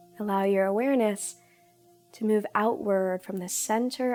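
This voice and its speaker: A woman talks at a fairly slow pace. Music plays behind her. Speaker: yoga instructor. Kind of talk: guided meditation. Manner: slow, soft-spoken.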